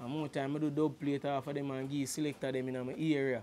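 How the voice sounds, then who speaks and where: A man with a strong Jamaican accent, fairly high-pitched yet dark and mellow in tone, flat and monotone at a moderate pace over light background noise. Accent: strong Jamaican patois. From Kingston, Jamaica. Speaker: reggae artist. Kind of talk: casual interview. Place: studio. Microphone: lapel.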